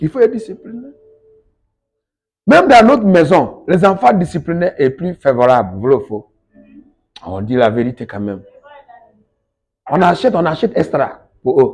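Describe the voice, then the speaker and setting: A man with a high pitch talks at a fairly slow pace, swinging very widely in pitch and leaving long, frequent pauses. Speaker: evangelist preacher. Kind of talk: sermon.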